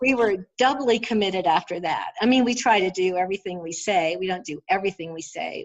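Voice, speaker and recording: A woman's ordinary speaking voice at a medium pitch, with ordinary pitch variation. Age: 60s. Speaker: astrologer. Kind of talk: interview.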